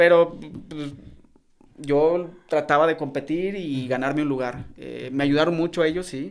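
A man speaks in a central Mexican accent at a fairly high pitch. His pace is fairly slow, with big swings in loudness. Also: fairly even intonation. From Mexico, León (Guanajuato). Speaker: retired footballer. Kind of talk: interview.

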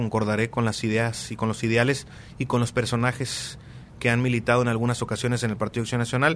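With an ordinary speaking voice, a man talks at a fairly quick pace and medium pitch. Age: 20s. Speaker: local politician. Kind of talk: interview.

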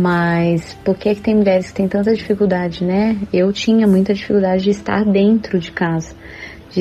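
This woman speaks at a medium pitch and a moderate pace, with fairly even intonation. Noticeable background noise sits under her voice. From interior of São Paulo state, Brazil. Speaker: churchgoer sharing faith testimony. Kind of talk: testimony.

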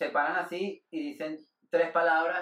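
A man's voice, high in pitch. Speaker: comedian. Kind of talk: casual chat.

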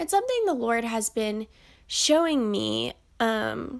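A woman's very slow speech on a very clean recording with a silent background. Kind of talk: devotional monologue. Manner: warm, giggly.

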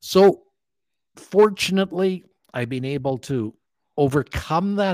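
A plain, everyday voice with a Canadian accent, a fairly slow pace and ordinary pitch variation, on a very clean recording with a silent background. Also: man. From Canada, Alberta (Calgary). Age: 60s. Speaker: motivational speaker and author, former dermatologist. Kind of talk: podcast interview.

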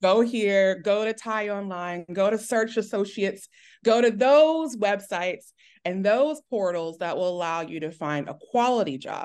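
Against a quiet background, a woman with an unremarkable speaking voice and an American accent speaks fairly slowly at a medium pitch with lively intonation. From Texas. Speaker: teacher. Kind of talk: casual interview chat.

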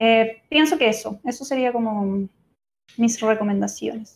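A woman with a normal speaking voice talks at a fairly slow pace in a fairly high pitch with fairly even intonation. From Chile. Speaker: manga youtuber and instagramer. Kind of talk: casual chat.

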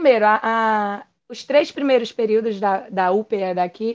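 Pitch varies in an ordinary way across an ordinary speaking voice. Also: woman. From Pernambuco countryside, Brazil. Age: 40s. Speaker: endodontist. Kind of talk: interview conversation.

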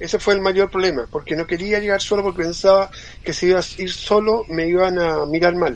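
A man with a high pitch talks at a fairly quick pace, keeping his intonation fairly even. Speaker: nudism activist. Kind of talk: interview.

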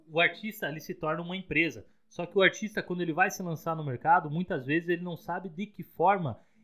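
This is a man speaking. His voice sits high in pitch. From Rio Grande do Sul, Brazil. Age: 30s. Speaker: podcast co-host, software developer. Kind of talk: casual podcast chat.

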